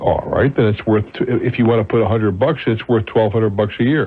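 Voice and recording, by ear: A man speaks at a fairly quick pace in a fairly low pitch, with a slightly husky edge and ordinary pitch variation.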